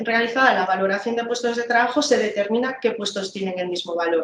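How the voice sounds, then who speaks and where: Over light background noise and audible room echo, a woman speaks at a fairly quick pace, her pitch fairly high with ordinary variation. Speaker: labor inspector presenting a tool; trainer presenting slides. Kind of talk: training presentation. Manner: fast; hesitant, many fillers. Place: office. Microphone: video call.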